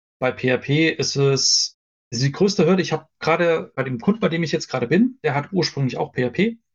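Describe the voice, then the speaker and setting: Speaking in a plain, everyday voice, a man with a fairly high pitch moves at a fairly quick pace with lively intonation. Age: 40s. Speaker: software developer. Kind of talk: casual interview. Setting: live stream.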